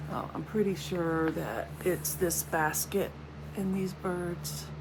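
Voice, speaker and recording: A woman talks at a very slow pace amid audible room echo and noticeable background noise. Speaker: crafting video host. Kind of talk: casual show-and-tell vlog.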